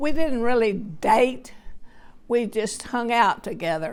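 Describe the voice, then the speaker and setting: With a Texan accent, a woman talks very slowly at a fairly high pitch with lively intonation, on a very clean recording with a silent background. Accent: Texan Southern American. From Texas, USA. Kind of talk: family interview answer. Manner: slow, hesitant.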